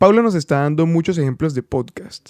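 A man's dark, mellow voice at a fairly quick pace, with a dry, close sound and no echo. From Caribbean coast of Colombia. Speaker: podcast host. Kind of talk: podcast narration and interviews. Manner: fast.

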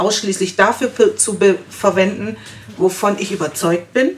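A woman with an unremarkable speaking voice keeps a medium pitch, ordinary pitch variation and a moderate pace. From Germany. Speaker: guest. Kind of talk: casual discussion. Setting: studio.

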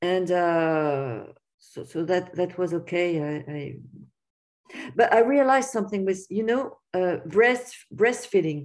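This woman has a French accent and a medium pitch, speaking at a fairly slow pace with lively intonation. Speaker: writer. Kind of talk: interview. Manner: halting.

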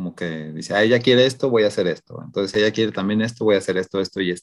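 The man has a plain, everyday voice at a fairly low pitch. He moves at a fairly quick pace with ordinary pitch variation. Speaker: podcast co-host. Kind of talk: casual chat.

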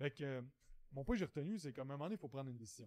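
A man with a fairly high pitch and a dark, mellow tone is heard in a dry, close recording with no echo. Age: 30s. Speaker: podcast host, entrepreneur coach. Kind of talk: solo monologue podcast. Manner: casual, filler-heavy.

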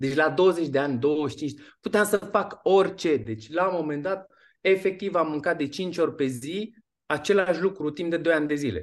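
Over a quiet background, a man with a normal speaking voice and a fairly high pitch talks at a moderate pace with ordinary pitch variation. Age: 40s. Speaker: fitness and nutrition coach. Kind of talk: interview.

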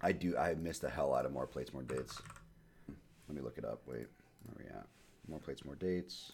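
A man with an American accent speaks at a fairly quick pace in a very deep, low voice with vocal fry, big swings in loudness, and long, frequent pauses. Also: ordinary pitch variation. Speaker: podcast host. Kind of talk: casual chat. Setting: remote recording. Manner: casual, profane.

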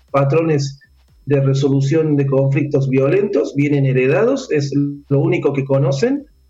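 A man speaks at a moderate pace with a fairly high pitch. There is audible room echo and music in the background. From Argentina, Córdoba. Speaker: sports coach and conference speaker. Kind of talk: radio interview.

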